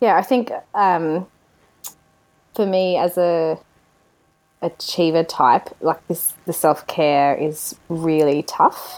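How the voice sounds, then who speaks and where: A woman in an Australian accent talks very slowly with long, frequent pauses, her fairly low pitch showing ordinary variation. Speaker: podcast co-host. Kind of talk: casual chat. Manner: animated.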